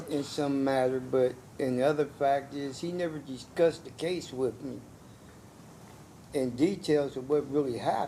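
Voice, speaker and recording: A man with a fairly high pitch and a dark, mellow tone speaks with long, frequent pauses. Audible room echo surrounds his voice. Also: fairly even intonation, moderate pace. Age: 60s. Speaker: defendant. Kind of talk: courtroom testimony. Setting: courtroom.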